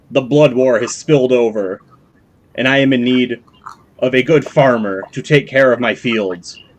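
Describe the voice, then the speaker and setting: A put-on character voice speaks at a moderate pace with ordinary pitch variation. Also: man, medium pitch for a man. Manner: rambling, menacing, grandiose.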